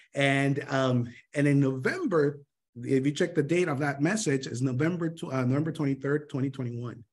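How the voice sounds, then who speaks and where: In a Spanish accent, a man speaks at a fairly high pitch and a fairly quick pace. The background is quiet. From Honduras. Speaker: sales mentor. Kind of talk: motivational training talk. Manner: animated, with many fillers and restarts.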